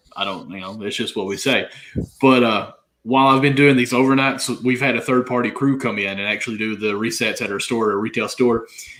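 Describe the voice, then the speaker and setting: At a fairly quick pace, a man with a Southern accent speaks at a medium pitch with fairly even intonation. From Kentucky. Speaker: fantasy sports podcast co-host. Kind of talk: casual chat.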